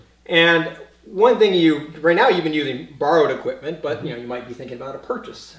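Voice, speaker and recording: A man speaks with audible room echo around him. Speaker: espresso website host giving advice. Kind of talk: conversational tutorial. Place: kitchen.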